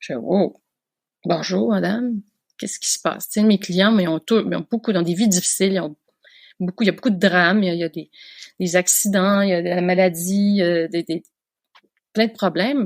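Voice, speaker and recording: With a dry, close sound and no echo, a woman at medium pitch talks at a fairly quick pace, using ordinary pitch variation and long, frequent pauses. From Quebec, Canada. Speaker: veterinarian. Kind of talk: podcast interview answer.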